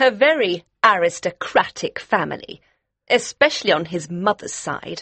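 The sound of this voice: Putting on a character voice, this man talks at a moderate pace in a high, bright, sharp tone with a slightly husky edge and lively intonation.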